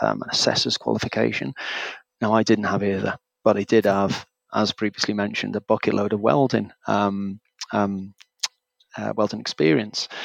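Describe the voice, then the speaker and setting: Here a man uses a normal speaking voice, fairly low in pitch, at a moderate pace with ordinary pitch variation. The sound is dry and close, with no echo. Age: 40s. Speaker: welding teacher. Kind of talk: interview.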